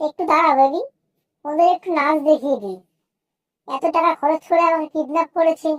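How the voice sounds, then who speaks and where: This is a squeaky, cartoonish character voice. It moves at a moderate pace. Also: female-sounding voice, extremely high pitch for a woman. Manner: flirty, mocking.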